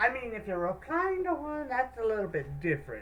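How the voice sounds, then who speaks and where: Moderately paced speech from a woman, with noticeable background noise. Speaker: YouTube reactor. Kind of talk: casual reaction commentary. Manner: halting.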